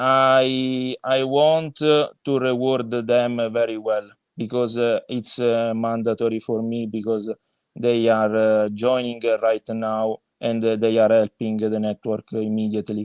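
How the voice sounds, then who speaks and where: Speaking at a fairly slow pace in a monotone, flat way, a man with an Italian accent is heard in a dry, close sound with no echo. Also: medium pitch for a man. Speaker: crypto project co-founder. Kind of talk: podcast interview. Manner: halting, many fillers.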